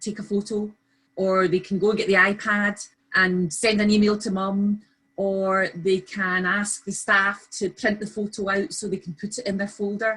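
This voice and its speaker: A woman with a Scottish accent speaks at a moderate pace in a medium pitch, her intonation flat and monotone. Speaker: early years practitioner. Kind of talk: webinar discussion.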